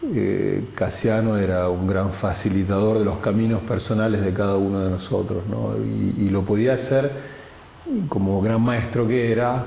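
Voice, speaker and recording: With noticeable background noise and audible room echo, a man speaks at a fairly low pitch and a fairly slow pace, his intonation fairly even and his loudness very even. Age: 60s. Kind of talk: testimony. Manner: halting, with many repetitions and fillers.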